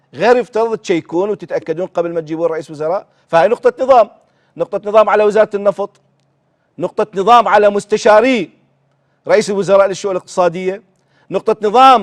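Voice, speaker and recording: Fairly quick, animated speech with an Iraqi accent and ordinary pitch variation, dry and close with no echo against a quiet background. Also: man. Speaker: TV show host. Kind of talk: political commentary; reading aloud. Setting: TV studio.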